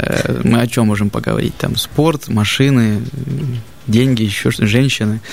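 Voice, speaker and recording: Over noticeable background noise, a man speaks at a medium pitch and a moderate pace with fairly even intonation. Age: 30s. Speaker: barber. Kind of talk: casual chat.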